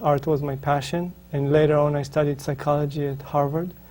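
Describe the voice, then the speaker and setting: In an Israeli accent, a man speaks at a fairly high pitch, somewhat breathy and with monotone, flat intonation. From Israel, northern kibbutz. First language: Hebrew. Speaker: spiritual author. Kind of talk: interview. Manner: halting, many fillers.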